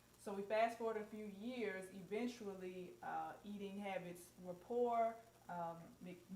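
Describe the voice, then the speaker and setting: A woman with a Southern US accent talks at a fairly slow pace, her medium pitch held in fairly even intonation. The room echo is audible, and background noise is noticeable. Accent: southern drawl. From US South, Mississippi. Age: 30s. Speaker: co-host, holistic skincare business owner. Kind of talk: personal testimony on live panel. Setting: live stream video call.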